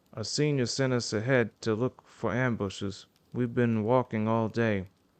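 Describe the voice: This plain reading aloud keeps a fairly even intonation.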